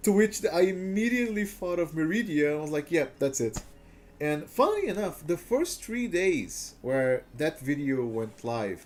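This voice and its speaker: At a moderate pace, a man with a Portuguese accent speaks at a high pitch with very wide pitch swings. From Brazil. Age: 20s. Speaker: gaming streamer. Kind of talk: casual chat. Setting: live stream.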